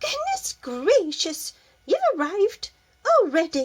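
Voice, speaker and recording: A woman squeaks out a put-on character voice at an extremely high pitch. Her pitch swings very widely. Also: fairly slow pace. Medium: read story. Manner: brisk, fussy.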